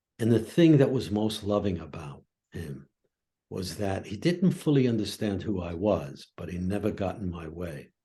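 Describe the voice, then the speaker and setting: A fairly low-pitched, dark and mellow male voice, somewhat breathy, at a moderate pace, with lively intonation and big swings in loudness. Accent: American. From Brooklyn, New York, US. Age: 80s+. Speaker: professor of psychology. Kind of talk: interview conversation. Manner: reflective storytelling.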